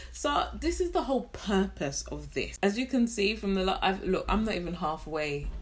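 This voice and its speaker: Against noticeable background noise and audible room echo, a woman with a British accent speaks in an animated tone at a moderate pace with hardly any pauses. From London, England. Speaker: beauty vlogger. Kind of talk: casual chat.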